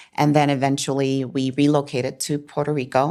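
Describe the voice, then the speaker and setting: A woman's very deep, low voice with a Chicago accent. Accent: Chicago American English. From Chicago, US. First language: Spanish. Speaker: business owner. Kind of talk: interview.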